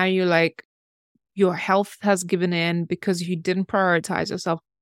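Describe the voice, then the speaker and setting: The recording is very clean, with a silent background. Its sound is dry and close, with no echo. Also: woman. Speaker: podcast host. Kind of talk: interview. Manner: enthusiastic.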